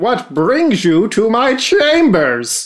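A man's put-on character voice, high in pitch, with very wide pitch swings. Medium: actual play. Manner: formal, overly polite.

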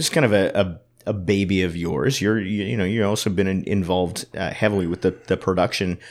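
On a very clean recording with a silent background, a man with a fairly low pitch speaks at a fairly quick pace. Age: 40s. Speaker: radio host. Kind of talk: casual interview. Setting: arts center during renovations.

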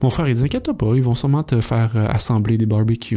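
A man speaks at a medium pitch in a dark, mellow tone that is somewhat breathy. His intonation stays fairly even. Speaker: podcast host, former physical education teacher. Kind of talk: casual chat. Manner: halting, many fillers.

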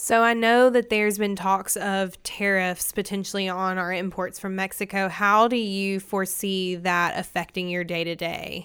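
A woman's medium-pitched voice with a Southern US accent, monotone and flat, at a moderate pace with hardly any pauses, on a very clean recording with a silent background. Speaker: podcast host. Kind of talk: scripted news and market report reading, then interview.

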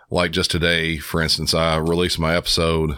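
A gruff man speaks at a moderate pace with very deep, low pitch. The recording is very clean, with a silent background. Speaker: 911 dispatcher and true crime podcaster. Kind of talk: casual interview chat.

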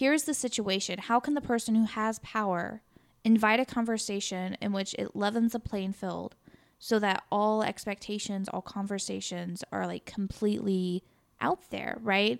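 A plain, everyday voice from a woman, medium-pitched with an American accent, at a moderate pace and ordinary pitch variation, in a very clean recording with a silent background. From Missouri, US Midwest. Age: 20s. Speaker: high school teacher and podcast co-host. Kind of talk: casual chat.

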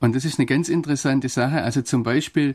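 This man has an unremarkable speaking voice, pitched in the medium range with fairly even intonation, captured on a very clean recording against a silent background. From Swabia, southern Germany. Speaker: foreign correspondent and theologian. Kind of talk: radio interview. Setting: studio.

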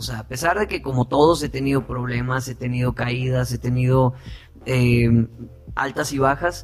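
A man at a medium pitch and a fairly slow pace, with noticeable background noise. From Sinaloa, Mexico (Guasave). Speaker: actor and singer. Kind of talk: interview.

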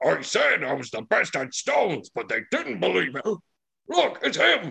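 Putting on a loud, rumbling character voice, a man speaks at a fairly high pitch. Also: moderate pace. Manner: boastful, grumbling.

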